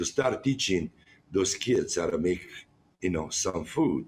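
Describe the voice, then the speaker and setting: Swinging very widely in pitch, a man with a very deep, low voice speaks with a strong non-native accent. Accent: strong foreign. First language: Italian. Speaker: chef running a jail cooking program. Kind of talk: interview. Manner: halting; animated.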